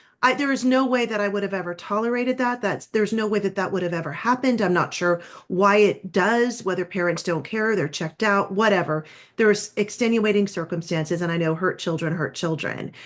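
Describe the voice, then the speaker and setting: A woman with an American accent and an ordinary speaking voice talks at a fairly quick pace, her medium pitch showing ordinary variation against a quiet background. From California. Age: 60s. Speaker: podcast host. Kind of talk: interview.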